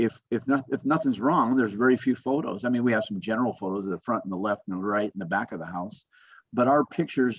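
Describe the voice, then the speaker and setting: With an American accent, a man has a plain, everyday voice, speaking at a fairly quick pace with ordinary pitch variation. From Las Vegas, US West. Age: 60s. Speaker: home inspector. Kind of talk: webinar presentation. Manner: casual, conversational.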